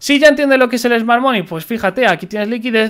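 The man's intonation is lively, and the background is quiet. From Spain. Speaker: crypto trading youtuber. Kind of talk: market analysis tutorial. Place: home room. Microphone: studio mic.

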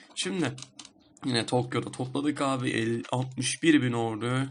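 Noticeable background noise runs under a man speaking at medium pitch with lively intonation. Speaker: gaming YouTuber. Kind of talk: gameplay commentary. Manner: casual, chatty with filler sounds.

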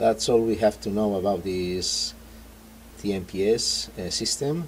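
With a Spanish accent, the speaker moves at a fairly slow pace through very wide pitch swings over light background noise. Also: man. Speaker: product reviewer. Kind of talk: tutorial. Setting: in a car. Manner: halting. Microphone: phone near.

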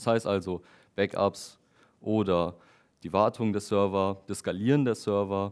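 A man is heard at a moderate pace, and the background is quiet. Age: 20s. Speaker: software developer giving a tech talk. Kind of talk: lecture. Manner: hesitant with frequent fillers. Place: meeting room.

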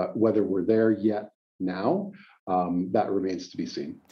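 In a Western Canadian accent, the speaker goes at a moderate pace against a quiet background. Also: man. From Calgary, Alberta, Canada; Alberta, Canada. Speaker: lawyer and mayoral candidate; lawyer, candidate. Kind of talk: interview. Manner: hesitant, many fillers. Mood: calm, measured. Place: office. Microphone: webcam.

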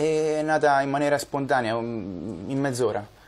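This man speaks at a fairly slow pace. His pitch varies in an ordinary way. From Italy, Marche (Morrovalle). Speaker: songwriter. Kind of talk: TV interview. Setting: studio. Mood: calm, modest. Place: studio.

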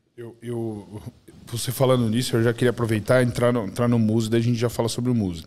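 This man talks at a very fast pace. His intonation is monotone and flat. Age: 40s. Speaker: podcast guest. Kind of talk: casual chat. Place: studio. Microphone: studio mic.

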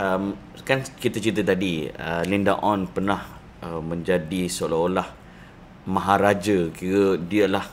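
A man's very deep, low pitch at a fairly slow pace, with fairly even intonation. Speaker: show host. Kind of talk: casual chat interview.

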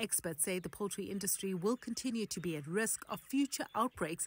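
A woman with a normal speaking voice and medium pitch talks at a moderate pace with lively intonation, recorded very cleanly against a silent background with a dry, close sound and no echo. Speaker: news reporter. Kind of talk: news narration.

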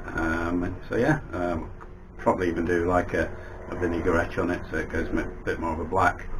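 With noticeable background noise, the speaker keeps a moderate pace and fairly even intonation. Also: man. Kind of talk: casual vlog chat. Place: workshop.

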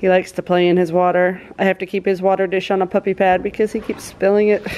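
A woman speaks at a fast pace in a fairly low voice, her intonation monotone and flat, with a slightly mellow tone.

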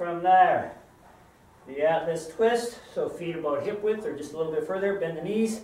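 A man talks at a high pitch with ordinary pitch variation. There is audible room echo. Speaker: fitness trainer. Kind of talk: tutorial. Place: gym. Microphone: camera far.

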